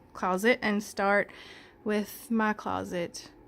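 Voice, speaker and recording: A woman's fairly high voice with ordinary pitch variation at a very slow pace, on a very clean recording with a silent background. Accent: Southern US. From Mississippi. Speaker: home tour vlogger. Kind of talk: casual home tour.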